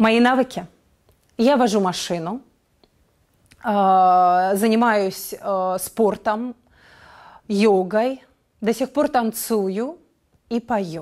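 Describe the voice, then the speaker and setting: A woman at a very slow pace, with long, frequent pauses and ordinary pitch variation, over a quiet background. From Russia, Yakutsk; Russia. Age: 30s. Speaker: actress. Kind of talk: self-presentation. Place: studio.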